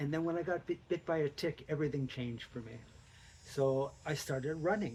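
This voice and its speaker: Intonation here is fairly even. There is a somewhat breathy quality to the voice. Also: man. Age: 70s. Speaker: amateur runner with Lyme disease. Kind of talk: interview. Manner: halting.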